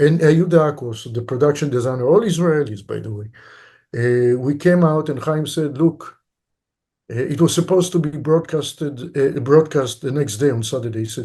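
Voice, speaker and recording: A man talks at a moderate pace in a fairly high pitch, his voice somewhat breathy with a dark, mellow tone. The background is quiet. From Israel, Tel Aviv. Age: 60s. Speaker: film director. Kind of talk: interview.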